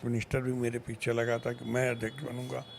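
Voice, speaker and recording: The voice belongs to a man at a medium pitch. Background noise is noticeable throughout. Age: 70s. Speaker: sports administrator. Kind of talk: interview.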